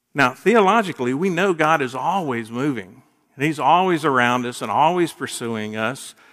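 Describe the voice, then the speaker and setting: An unremarkable speaking voice from a man, fairly high in pitch with lively intonation at a moderate pace, on a very clean recording with a silent background. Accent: American. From US South, Gainesville, Florida. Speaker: minister, guest preacher. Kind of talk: sermon.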